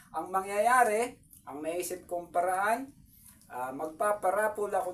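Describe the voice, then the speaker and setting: The speaker moves at a fairly slow pace. Pitch variation is ordinary. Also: man. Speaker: YouTube vlogger and craftsman. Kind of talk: casual vlog talk to viewers. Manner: hesitant, many fillers.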